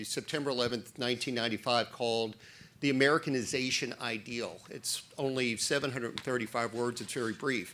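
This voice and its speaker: A loud man at a medium pitch, bright and sharp in tone, at a fairly quick pace. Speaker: former immigration judge, policy fellow. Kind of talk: panel discussion.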